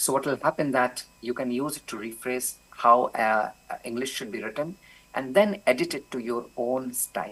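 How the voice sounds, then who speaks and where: Medium in pitch with ordinary variation, a man's voice moves at a moderate pace. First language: not English. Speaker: professor. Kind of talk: conference Q&A answer.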